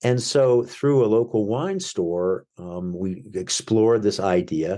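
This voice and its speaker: Over a quiet background, a man with an American accent talks in a dark, mellow tone with ordinary pitch variation. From United States. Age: 60s. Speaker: winemaker and author. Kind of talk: interview. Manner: halting, many fillers and restarts.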